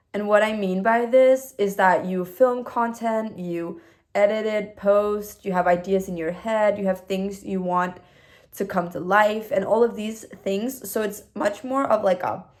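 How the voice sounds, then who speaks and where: A woman with a non-native accent speaks at a medium pitch. Her pace is fairly slow and her intonation fairly even. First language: not English. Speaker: new YouTuber. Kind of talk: casual vlog reflection. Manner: hesitant, with fillers.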